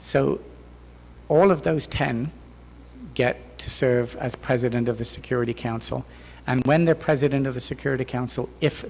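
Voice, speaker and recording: With an English accent, a man talks at a moderate pace. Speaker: professor and keynote speaker. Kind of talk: Q&A answer at academic conference. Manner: hesitant, many fillers.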